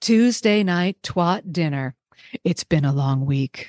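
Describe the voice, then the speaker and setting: A woman talks with a Californian accent at a medium pitch. Her pitch swings very widely, and the sound is dry and close with no echo. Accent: Californian American English. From US West Coast, San Francisco Bay Area. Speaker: veterinary technician. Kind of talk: casual interview chat.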